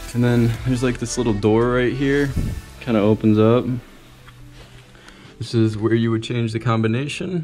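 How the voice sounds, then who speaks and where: A man talks at a moderate pace. Faint music plays in the background. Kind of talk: casual vlog chat. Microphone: phone near.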